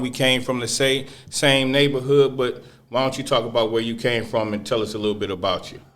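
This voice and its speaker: Someone speaks fairly quickly with an American accent and fairly even intonation. Room echo is audible. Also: man. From Northwest Indiana (East Chicago). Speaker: podcast host. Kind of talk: casual chat.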